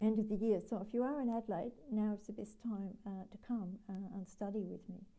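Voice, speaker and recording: A woman speaks with an Australian accent at a fairly high pitch. Her tone is dark and mellow, and somewhat breathy. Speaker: spiritual healer and teacher. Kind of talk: live stream talk. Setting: live video stream. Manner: hesitant, many fillers; voice fades when channeling. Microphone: sometimes too quiet.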